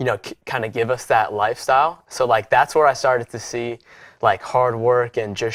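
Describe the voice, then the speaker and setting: A plain, everyday voice from a man at medium pitch, moderate in pace, with a dry, close sound with no echo on a very clean recording with a silent background. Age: 20s. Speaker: podcast host. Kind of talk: interview. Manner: many fillers, casual.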